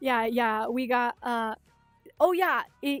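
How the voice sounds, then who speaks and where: Music plays in the background as a woman with a Chicago accent speaks in a fairly high voice, the sound dry and close with no echo. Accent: Chicago accent with slight Midwestern touches. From US Upper Midwest (Minnesota, South Dakota). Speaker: livestreamer. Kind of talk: casual livestream chat. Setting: home streaming setup in bedroom.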